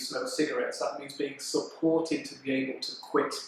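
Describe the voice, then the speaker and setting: A man talks at a fairly quick clip, with audible room echo and noticeable background noise around him. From Lancashire, northern England. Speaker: respiratory doctor. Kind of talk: explainer talk.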